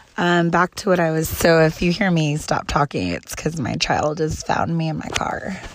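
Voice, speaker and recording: Against noticeable background noise, a woman talks with hardly any pauses. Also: moderate pace. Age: 30s. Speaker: podcaster. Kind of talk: personal monologue.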